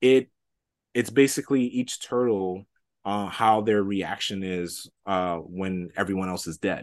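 In a normal speaking voice, a man with fairly low pitch talks at a fairly slow pace with ordinary pitch variation, set against a quiet background. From New York City, Washington Heights. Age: 30s. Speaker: comic book writer. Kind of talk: interview.

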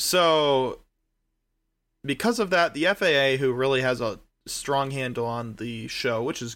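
A man speaks at a very slow pace with ordinary pitch variation. His tone is bright and sharp. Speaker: podcast co-host. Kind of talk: casual chat. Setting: remote recording from separate time zones.

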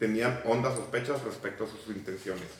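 A man at a moderate pace, fairly even intonation, audible room echo and noticeable background noise. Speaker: podcast host. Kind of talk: casual chat; history narration read aloud.

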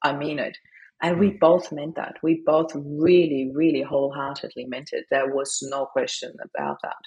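A woman with a German accent speaks in a very deep, low voice with fairly even intonation. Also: moderate pace. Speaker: grief coach, widow. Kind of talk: interview. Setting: remote call.

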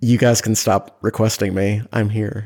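An unremarkable speaking voice from a man, medium-pitched, delivered at a moderate speed. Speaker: guest, host's husband. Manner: joking, playful.

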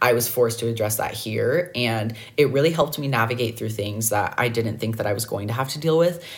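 A man with an American accent, somewhat breathy, at a fairly quick pace and medium pitch, with ordinary pitch variation and hardly any pauses. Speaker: podcast host. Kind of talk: solo podcast monologue about mental health.

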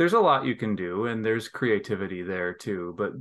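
Against a quiet background, a man speaks at a fairly low pitch in an ordinary speaking voice with an American accent. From Michigan. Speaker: academic, hockey fan. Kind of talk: casual chat.

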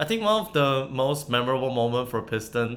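In a Chinese accent, a man speaks at a moderate pace. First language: Mandarin Chinese. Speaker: podcast host and former university student. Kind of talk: casual chat.

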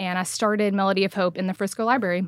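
A woman with a Texan accent speaks at a medium pitch. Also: very clean recording, silent background. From Texas. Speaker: nonprofit founder. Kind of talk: casual chat.

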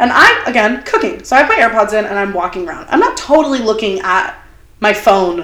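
With an ordinary speaking voice, a woman talks at a moderate pace, her fairly high pitch carried by lively intonation. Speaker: podcast host. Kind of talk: casual chat.

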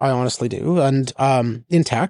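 The sound is dry and close with no echo as a man talks with a Canadian Prairies accent. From northern Saskatchewan, Canada. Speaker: tech investor and executive. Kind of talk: interview. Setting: studio. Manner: halting, repeats words.

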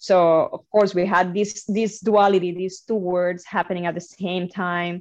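A woman with a Cuban accent reads at a fairly slow pace and medium pitch, hardly pausing. Her intonation stays monotone and flat. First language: Spanish. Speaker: flutist, composer and music instructor. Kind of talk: interview conversation.

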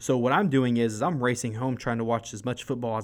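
A man speaks in a normal speaking voice at medium pitch, with fairly even intonation and a fairly quick pace. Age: 20s. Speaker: sports podcast host. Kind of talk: casual sports commentary monologue.

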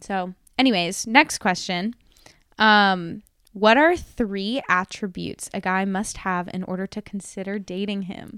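A woman with a plain, everyday voice talks at a fairly slow pace, her medium pitch varying in an ordinary way. Her loudness swings widely, and the sound is dry and close with no echo. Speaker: podcast host. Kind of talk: casual chat.

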